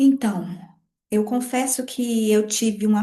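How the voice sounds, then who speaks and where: Her voice is high-pitched with a dark, mellow tone as this woman speaks at a very slow pace. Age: 40s. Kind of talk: podcast interview testimony.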